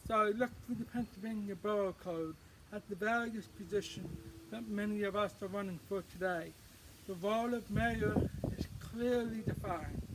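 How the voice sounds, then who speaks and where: An American-accented man talks at a moderate pace with a high pitch. His intonation is fairly even, and noticeable background noise can be heard. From northern New Jersey, USA. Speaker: mayoral candidate, deaf emergency management advocate. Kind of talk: campaign introduction to camera. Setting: outdoors.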